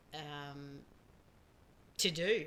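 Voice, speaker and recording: A woman speaks with an Australian accent. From Australia, small town. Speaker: podcast host's mother. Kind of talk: casual chat.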